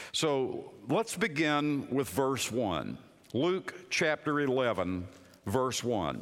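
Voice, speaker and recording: This man has a medium pitch, vocal fry, and very wide pitch swings. He speaks at a very slow pace with very even loudness. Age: 60s. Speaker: pastor. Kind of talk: sermon. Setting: chapel.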